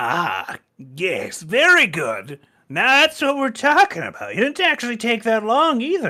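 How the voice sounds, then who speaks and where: A put-on character voice, raised and projected, comes at a moderate pace with a fairly high pitch. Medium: actual play. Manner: gruff, crude.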